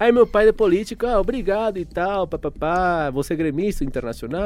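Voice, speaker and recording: A man with a Venezuelan accent and lively intonation, on a very clean recording with a silent background. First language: Spanish (speaking Portuguese). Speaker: journalism student. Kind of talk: casual chat.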